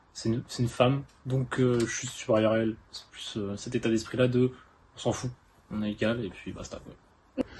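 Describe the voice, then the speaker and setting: Flat, monotone speech from a man at a moderate pace, with noticeable background noise. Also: medium pitch for a man, big swings in loudness. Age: 18. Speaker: interviewee, narrator's boyfriend. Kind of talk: interview answers. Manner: hesitant, many fillers.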